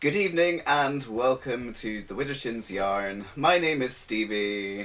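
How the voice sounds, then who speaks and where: This man has a normal speaking voice at medium pitch. He talks at a fairly slow pace with lively intonation. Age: 30s. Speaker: podcast host. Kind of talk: casual chat. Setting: home recording space.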